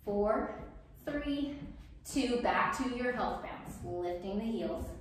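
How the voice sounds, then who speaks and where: A woman's fairly high, lively voice at a very slow pace, with strong room echo and light background noise. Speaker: rebounding fitness instructor. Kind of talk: workout instruction. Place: home room. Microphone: camera far.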